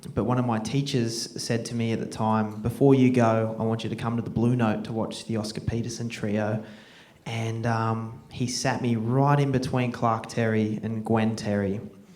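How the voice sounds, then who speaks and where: With an Australian accent, a man speaks at a moderate pace in a medium-pitched, monotone, flat voice, with audible room echo around him. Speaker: film director and jazz drummer. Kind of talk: Q&A after film screening. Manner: halting, many fillers.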